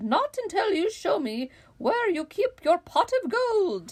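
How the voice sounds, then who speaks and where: A woman uses a put-on character voice at an extremely high pitch. Her pitch swings very widely as she goes at a fairly slow pace. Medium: read story. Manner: whiny, complaining.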